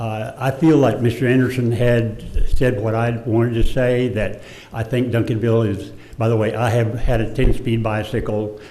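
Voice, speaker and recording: Amid audible room echo, a man of medium pitch speaks in a monotone, flat intonation. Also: moderate pace. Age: 80s+. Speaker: resident speaking at public comment. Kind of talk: public comment at council meeting. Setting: city council chamber. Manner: halting, with hesitations.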